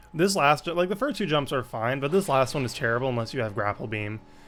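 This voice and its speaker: Over music in the background, a man speaks at a medium pitch with lively intonation. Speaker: speedrunner. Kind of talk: gameplay commentary. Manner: casual, hesitant with fillers.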